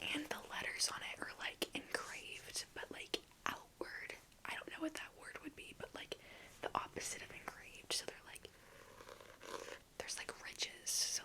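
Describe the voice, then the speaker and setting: Someone whispers at a moderate pace, with long, frequent pauses. Noticeable noise sits in the background. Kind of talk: ASMR whispered talk to camera about a book collection. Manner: whispered, soft.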